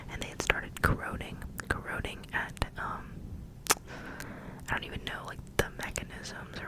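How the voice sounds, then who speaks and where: Whispering at a moderate pace, a woman speaks over noticeable background noise. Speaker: ASMR creator. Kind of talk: ASMR show-and-tell talk. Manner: whispered; repetitive phrasing.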